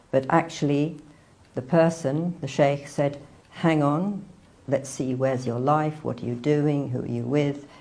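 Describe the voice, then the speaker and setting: A woman's very deep, low voice with a dark, mellow tone at a fairly slow pace. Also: fairly even intonation. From northern England, near Manchester. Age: 60s. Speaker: convert telling her story. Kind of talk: testimony.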